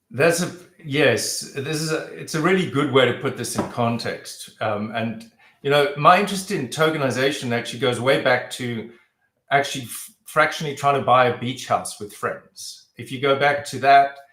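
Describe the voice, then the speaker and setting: Bright and sharp in tone, a man's fairly high voice moves at a moderate pace with ordinary pitch variation and big swings in loudness, and audible room echo surrounds it. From South Africa. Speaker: real estate entrepreneur. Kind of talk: interview. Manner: hesitant, many fillers.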